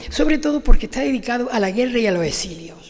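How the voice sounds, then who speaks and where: A woman talks in a fairly high voice with lively intonation. Noticeable background noise runs behind her. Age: 80s+. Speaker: award-winning author. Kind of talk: acceptance speech. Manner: halting.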